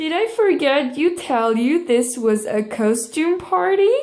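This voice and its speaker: High pitch and a fairly slow pace in a woman's put-on character voice. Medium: read story.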